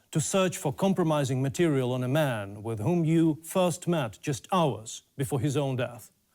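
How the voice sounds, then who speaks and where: Dark and mellow in tone, the voice moves at a fairly slow pace on a very clean recording with a silent background. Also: man. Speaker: investigative journalist. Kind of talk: interview. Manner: halting.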